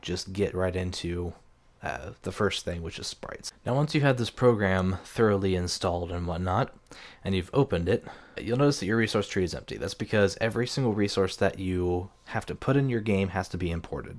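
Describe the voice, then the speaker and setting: Quiet and fairly low-pitched, a man talks on a very clean recording with a silent background. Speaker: game development tutorial maker. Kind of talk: tutorial. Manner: quiet, keeping voice down; hesitant, many fillers.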